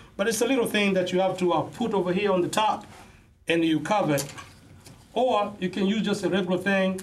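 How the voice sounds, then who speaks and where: A high-pitched man's voice with fairly even intonation and audible room echo. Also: fairly quick pace, very even loudness. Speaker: student presenter, pharmacy technician. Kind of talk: classroom demonstration presentation. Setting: classroom. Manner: loud.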